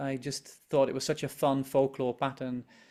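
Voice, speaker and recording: On a very clean recording with a silent background, a man with a Frisian accent talks at a moderate pace in a fairly high pitch. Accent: Dutch (Frisian) English. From Netherlands, Friesland. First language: Dutch or Frisian. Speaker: embroidery designer. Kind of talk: interview chat. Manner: halting, repeats words.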